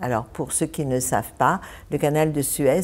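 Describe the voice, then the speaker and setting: The recording is very clean, and the background is silent. A woman talks with a very deep, low pitch. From Egypt (Ismailia). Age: 70s. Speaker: church member sharing life story. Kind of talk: interview.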